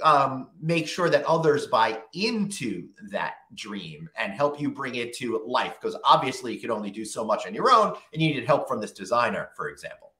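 With big swings in loudness, a man talks at a moderate pace against a quiet background, and audible room echo surrounds his voice. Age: 50s. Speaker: podcast host; podcast host interviewer. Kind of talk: interview.

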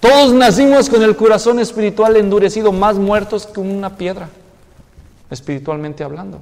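A man with a Mexican accent and a high pitch, moderate pace, ordinary pitch variation and big swings in loudness. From Mexico, Guadalajara; Jalisco, Mexico. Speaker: pastor. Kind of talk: sermon. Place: church.

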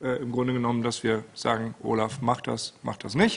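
The speaker is a man whose pace is fairly slow. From Rhineland, Germany (Hürth); Rhineland, Germany. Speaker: meeting chair. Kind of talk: meeting moderation. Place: meeting room. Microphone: podium.

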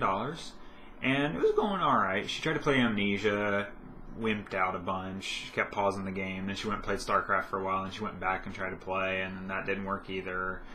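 A man speaks at a moderate pace with a fairly low pitch. Light background noise sits behind him. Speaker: vlogger. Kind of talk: casual vlog chat. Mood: relaxed, upbeat. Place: home room. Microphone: webcam.

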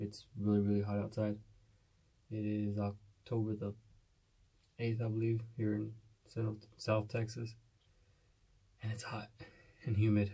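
Against a quiet background, a man speaks in a fairly low, dark, mellow voice that is somewhat breathy. His intonation is monotone and flat, with long, frequent pauses. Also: fairly slow pace. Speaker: hunting vlogger. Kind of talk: casual vlog. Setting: outdoors. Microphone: phone near.

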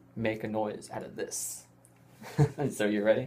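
At a medium speed, a man is talking. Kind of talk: casual vlog chat. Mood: playful, laughing. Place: classroom. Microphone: webcam.

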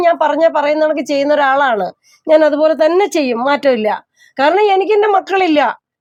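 A woman's high-pitched voice holds very even loudness, with ordinary pitch variation. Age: 50s. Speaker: widow living alone. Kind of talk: emotional testimony. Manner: distressed, pleading.

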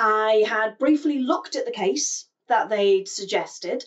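A woman talks at a fairly slow pace. The background is quiet. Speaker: psychology commentator. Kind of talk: commentary. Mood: serious, calm.

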